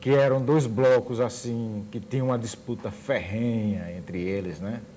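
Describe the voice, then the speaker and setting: In a room with audible echo, a man speaks at a fairly slow pace with a medium pitch and ordinary pitch variation. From Brazil, Sergipe. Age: 50s. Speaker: musician and visual artist. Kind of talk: TV interview.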